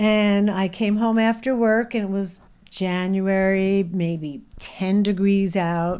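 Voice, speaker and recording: Very slowly, a woman speaks at a medium pitch in a dark, mellow tone with fairly even intonation. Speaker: operating room nurse. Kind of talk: casual podcast chat, storytelling.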